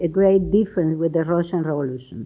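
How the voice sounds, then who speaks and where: A woman speaks with a Cuban accent. Her pitch varies in an ordinary way. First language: Spanish. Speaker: ambassador. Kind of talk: speech. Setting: stage with audience. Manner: halting.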